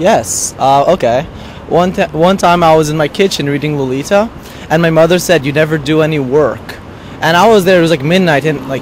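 Very fast male voice with ordinary pitch variation, a dry sound with no echo and light background noise. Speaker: interviewee. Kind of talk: interview answer. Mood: playful, amused. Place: street. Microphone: handheld.

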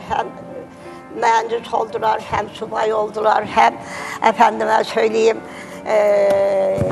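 Clear music plays in the background. Over it, a woman talks at a very slow pace. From Turkey. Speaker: talk show guest. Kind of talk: interview answer. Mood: emotional, earnest storytelling. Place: studio.

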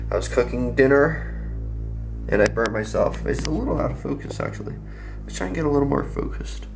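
Over music in the background, a man talks at a very fast pace. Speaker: vlogger. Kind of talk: casual vlog chat. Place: home room. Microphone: phone near.

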